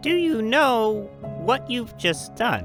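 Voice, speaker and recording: Someone performs a put-on character voice. Clear music plays in the background. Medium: audio drama. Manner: lively, warm.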